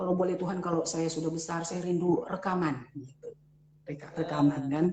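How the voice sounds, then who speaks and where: Noticeable background noise sits behind this woman's speech. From Manado, North Sulawesi, Indonesia. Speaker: pastor. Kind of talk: testimony. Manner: halting.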